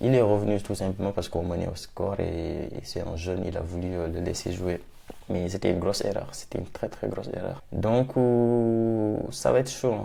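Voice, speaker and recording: A soft-spoken man talks at a moderate pace with a very deep, low pitch. Audible room echo and noticeable background noise surround him. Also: ordinary pitch variation. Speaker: football YouTuber. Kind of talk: match debrief vlog. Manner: animated.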